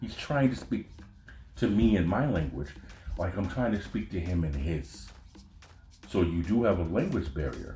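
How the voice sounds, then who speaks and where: A man with an American accent and a very deep, low pitch talks at a moderate pace with very wide pitch swings and long, frequent pauses, with music in the background and audible room echo. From United States. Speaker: podcast host. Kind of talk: casual monologue. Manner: animated.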